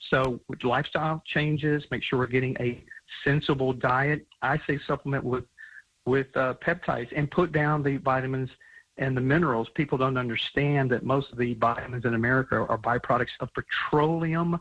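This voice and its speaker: An ordinary speaking voice at a moderate pace, with fairly even intonation and a quiet background. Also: man, medium pitch for a man. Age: 60s. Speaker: supplement company founder. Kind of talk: radio interview.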